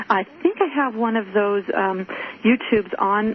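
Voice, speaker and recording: A woman speaks at medium pitch and a fairly slow pace with ordinary pitch variation, against noticeable background noise. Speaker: radio show host. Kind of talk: radio interview.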